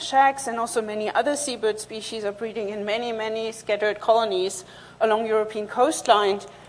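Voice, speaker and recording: Noticeable background noise runs under this recording. A woman talks at a fairly quick pace with ordinary pitch variation. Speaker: seabird researcher. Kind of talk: conference talk. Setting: conference stage.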